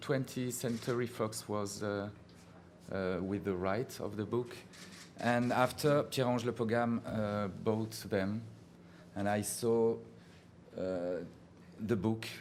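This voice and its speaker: In a French accent, a man speaks at a very slow pace with long, frequent pauses and fairly even intonation, amid audible room echo. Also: medium pitch for a man. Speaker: film director. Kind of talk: press conference. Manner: halting.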